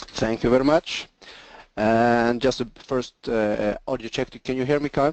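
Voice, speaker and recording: A man speaks with a slight Swedish accent. His intonation is fairly even. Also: medium pitch for a man, fairly slow pace, dry, close sound with no echo. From Sweden. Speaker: engineering sales presenter. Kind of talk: webinar presentation. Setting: online webinar.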